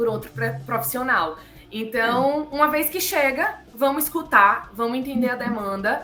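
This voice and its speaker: A woman's raised, projected voice at a moderate pace, with ordinary pitch variation and music in the background. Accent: Bahian. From Bahia, Brazil. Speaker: psychologist. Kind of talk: interview answer.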